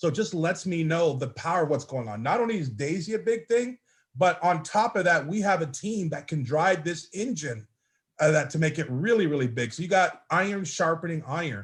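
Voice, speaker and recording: A man speaks loudly and at a fairly quick pace, his pitch high and his tone animated. His intonation is lively, and the recording is very clean with a silent background. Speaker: network marketing team leader. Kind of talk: motivational speech on a group call.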